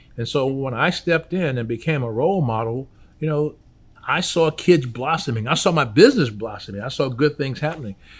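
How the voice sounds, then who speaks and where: On a very clean recording with a silent background, a man speaks at a medium pitch and a fairly quick pace, somewhat breathy, with ordinary pitch variation. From New Orleans. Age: 60s. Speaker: restaurant owner. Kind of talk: interview. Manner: halting, many repetitions and fillers.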